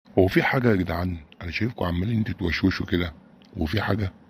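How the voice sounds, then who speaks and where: Put-on character voice from a man, raspy and very deep, delivered at a very fast pace. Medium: cartoon.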